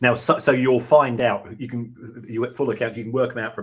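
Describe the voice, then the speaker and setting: A man's medium-pitched, somewhat breathy voice moves at a fairly quick pace with fairly even intonation. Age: 60s. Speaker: football finance expert. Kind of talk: podcast interview.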